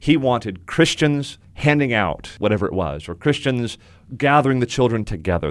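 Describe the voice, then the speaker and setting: A man with an unremarkable speaking voice and an American accent talks at a fairly quick pace. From US South, South Florida. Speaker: pastor. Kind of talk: interview. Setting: studio.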